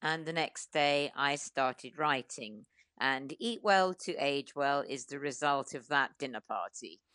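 Fairly slow delivery with hardly any pauses, ordinary pitch variation, a bright, sharp tone and a dry, close sound with no echo. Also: woman. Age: 70s. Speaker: food writer. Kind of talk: interview.

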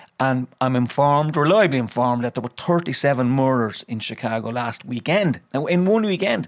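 A man with a Dublin accent speaks at a medium pitch and a fairly quick pace, his intonation lively and his delivery with hardly any pauses. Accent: Dublin Irish. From Dublin, Ireland. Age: 50s. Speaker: retired prison governor. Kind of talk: casual chat. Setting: studio.

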